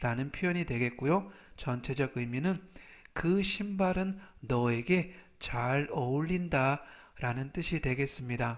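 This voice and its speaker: A man's fairly high voice, very slow and with lively intonation, on a very clean recording with a silent background. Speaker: English vocabulary teacher. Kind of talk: tutorial. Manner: slow, repeating each word three times; formal.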